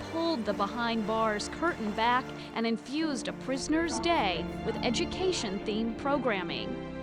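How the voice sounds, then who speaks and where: A woman speaks at a moderate pace while music plays behind her. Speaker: TV news reporter. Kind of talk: TV news report narration.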